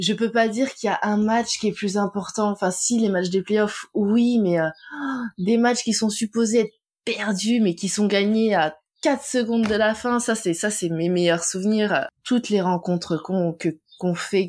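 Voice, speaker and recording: A woman talks at a moderate pace at a medium pitch. Her loudness is very even and her pitch varies in an ordinary way. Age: 30s. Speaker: tax office worker and wife of a pro basketball player. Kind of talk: interview. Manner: hesitant, many fillers.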